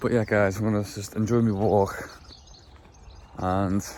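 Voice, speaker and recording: Over noticeable background noise, a man with an English accent speaks at a fairly low pitch and a fairly slow pace. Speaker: amateur powerlifter vlogger. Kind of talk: casual vlog. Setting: outdoors.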